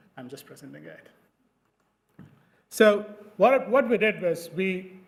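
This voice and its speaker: With audible room echo, a man talks at a fairly slow pace in a high voice, his intonation lively and his loudness swinging widely. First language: not English. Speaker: dermatologist presenting research. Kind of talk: conference presentation. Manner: hesitant, many fillers.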